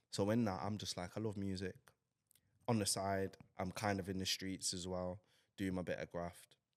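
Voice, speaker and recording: With a Mancunian accent, a man speaks in a very deep, low pitch. He leaves long, frequent pauses. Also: moderate pace. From Manchester, northern England. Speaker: rapper and DJ. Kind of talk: podcast interview. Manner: animated.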